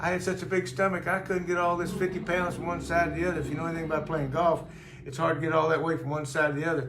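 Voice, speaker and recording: Very fast speech amid noticeable background noise and audible room echo. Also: man. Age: 80s+. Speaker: weight-loss customer sharing testimonial. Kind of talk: testimony. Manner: halting, with repetitions.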